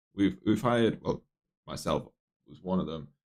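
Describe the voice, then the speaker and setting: A man speaks with lively intonation. His voice has vocal fry. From northeast England, near Newcastle. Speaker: software developer streaming live coding. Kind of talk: casual live stream chat. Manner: casual, many fillers and restarts.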